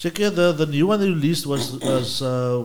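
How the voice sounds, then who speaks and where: The voice belongs to a man. It rises and falls in pitch very widely. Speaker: podcast host.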